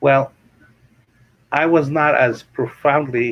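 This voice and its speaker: With an Arabic accent, a man speaks with ordinary pitch variation. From Kuwait. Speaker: real estate investor and author. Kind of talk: interview. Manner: animated.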